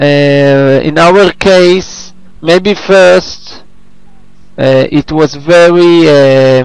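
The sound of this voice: A man's fairly high voice, with ordinary pitch variation, at a very slow pace.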